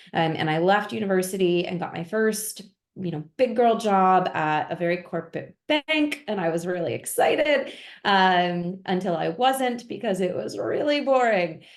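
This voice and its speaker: A woman with an American accent speaks in an ordinary speaking voice at a medium pitch and moderate pace, with lively intonation. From US, Pennsylvania (north of Philadelphia). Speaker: engineering director. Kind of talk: webinar interview. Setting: video call.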